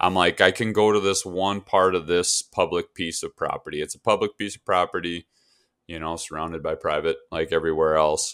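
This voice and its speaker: A man with an Upper Midwest US accent talks at a fairly quick pace. The recording is very clean, with a silent background and a dry, close sound with no echo. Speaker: hunting podcast co-host. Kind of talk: casual chat.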